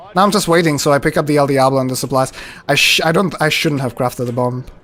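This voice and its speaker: A man's fairly high voice at a very fast pace, with ordinary pitch variation, very even loudness and noticeable background noise. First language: not English. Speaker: speedrunner streamer. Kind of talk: live gameplay commentary. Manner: casual, conversational.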